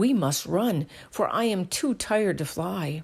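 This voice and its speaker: A female-sounding voice performs a put-on character at a medium pitch. The pace is moderate, and the recording is very clean with a silent background. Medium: read story.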